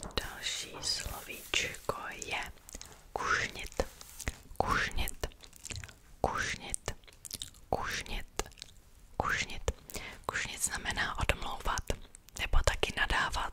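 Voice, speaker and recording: Over loud background noise, a soft-spoken woman whispers at a very slow pace, with long, frequent pauses. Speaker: ASMR creator. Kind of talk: soft ASMR talk and reading a legend aloud. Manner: soft close-mic ASMR whisper. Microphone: studio mic.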